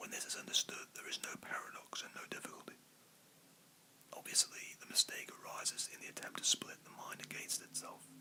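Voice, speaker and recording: Someone whispers at a fairly quick pace. Noticeable background noise is present. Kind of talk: whispered book reading, ASMR relaxation. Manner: whispered.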